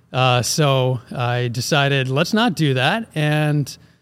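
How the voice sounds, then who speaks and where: On a very clean recording with a silent background, a man has a plain, everyday voice with a fairly high pitch and ordinary pitch variation. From Philadelphia, US. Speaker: ag company president, former chemical engineer. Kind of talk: casual interview.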